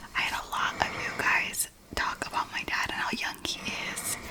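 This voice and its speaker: A woman whispering against noticeable background noise. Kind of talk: ASMR ramble casual talk to camera.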